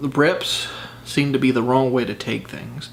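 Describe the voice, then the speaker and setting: Against noticeable background noise, a man at medium pitch speaks at a moderate pace with fairly even intonation. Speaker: vlogger doing fitness challenge. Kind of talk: casual vlog talk to camera. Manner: hesitant, many fillers.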